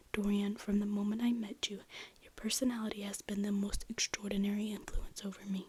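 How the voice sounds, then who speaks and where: Soft-spoken and medium-pitched, a woman talks with fairly even intonation over noticeable background noise. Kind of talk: ASMR soft-spoken reading of a classic novel.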